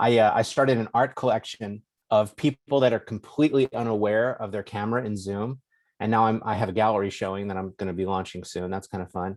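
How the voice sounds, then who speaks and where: Fairly low in pitch, a man's voice is heard. He talks at a very fast pace. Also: fairly even intonation. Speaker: architect. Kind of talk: online conference talk. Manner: casual, joking.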